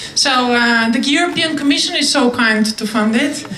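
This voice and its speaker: A woman's raised, projected voice at a high pitch, with ordinary pitch variation, audible room echo and noticeable background noise. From Bulgaria. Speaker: conference speaker. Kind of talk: answering audience questions after a talk. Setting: conference hall with audience.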